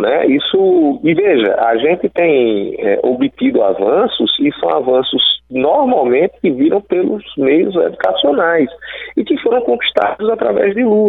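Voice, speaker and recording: Over noticeable background noise, the speech moves at a fairly slow pace with very even loudness. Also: man. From Brazil, Alagoas (Northeast). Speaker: electoral law attorney and professor. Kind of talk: radio interview. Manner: halting, with frequent fillers.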